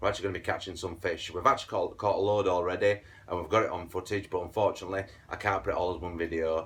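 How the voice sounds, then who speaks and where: A man with a Yorkshire accent, very deep and low in pitch, talking at a very fast pace. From Yorkshire, northern England. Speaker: angling video host. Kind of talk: tutorial. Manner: animated.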